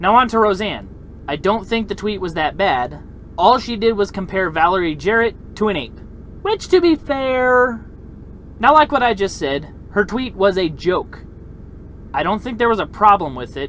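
A man talks at a moderate pace with lively intonation. Light background noise is present, and the sound is dry with no echo. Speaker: opinion vlogger. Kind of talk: opinion commentary. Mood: argumentative, confident. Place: car. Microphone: phone near.

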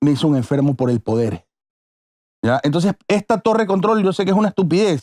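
A man's high-pitched voice with a dark, mellow tone, very wide pitch swings, very even loudness, and a fairly quick pace over a quiet background. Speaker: podcast host. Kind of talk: casual chat. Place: studio. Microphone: studio mic.

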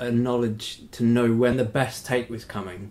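A man with an English accent, medium pitch, moderate pace and monotone, flat intonation. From Britain. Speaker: podcast host. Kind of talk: interview.

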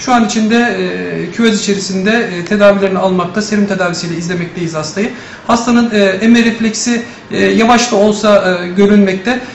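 Room echo is audible, along with light background noise. A man with a high pitch speaks at a moderate pace and fairly even intonation. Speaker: neonatal intensive care doctor. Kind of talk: press statement. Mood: calm, measured, factual. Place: office.

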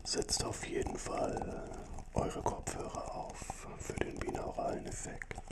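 Someone whispers very slowly and soft-spoken over loud background noise. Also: man. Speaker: ASMR creator. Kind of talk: soft ASMR talk. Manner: soft close whisper through cup. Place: studio. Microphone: studio mic.

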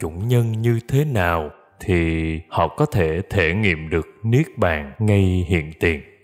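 Over background music, a man with a very deep, low pitch talks very slowly in a calm tone with lively intonation. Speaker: singer. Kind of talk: spiritual reading. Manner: slow, calm.

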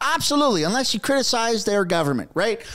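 Against a quiet background, an animated man with a Canadian accent speaks with very wide pitch swings. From Canada. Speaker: political commentary YouTuber. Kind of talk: casual commentary. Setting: home studio with microphone. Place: home room. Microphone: studio mic.

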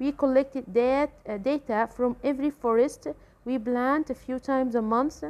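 With an Egyptian accent, a woman speaks in a high voice at a moderate pace, with ordinary pitch variation. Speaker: English teacher. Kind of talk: tutorial. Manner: hesitant with filler sounds.

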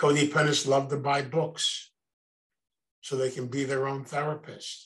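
Speaking with an American accent, a man uses a fairly high pitch. His intonation is monotone and flat, and his pace is fairly slow. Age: 80s+. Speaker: recovery program speaker. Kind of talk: lecture. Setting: video call.

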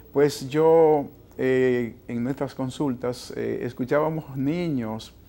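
Over light background noise, a man speaks very slowly in a dark, mellow tone with ordinary pitch variation. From Dominican Republic, San Juan. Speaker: foundation president, optometry program director. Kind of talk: TV interview. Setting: TV studio. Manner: hesitant with fillers. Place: studio. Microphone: lapel.

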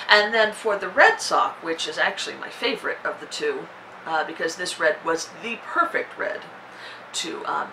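With a bright, sharp tone and lively intonation, a woman speaks at a low pitch over faint background noise.

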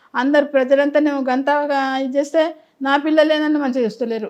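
A woman with a Telangana accent, high-pitched and fairly even in intonation. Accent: Telangana Telugu. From Telangana, Karimnagar district. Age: 80s+. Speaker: elderly woman telling her life story. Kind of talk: interview testimony.

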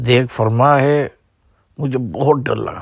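Medium pitch and fairly even intonation from a man. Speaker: Islamic scholar recounting memories of his spiritual mentor. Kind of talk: personal reminiscence. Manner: halting.

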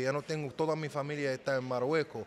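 Over light background noise, a man with a Moroccan accent speaks at a fairly high pitch. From Morocco, Casablanca. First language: Moroccan Arabic (speaking Spanish). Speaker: car salesman. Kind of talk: casual interview chat. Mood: warm, heartfelt. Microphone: studio mic.

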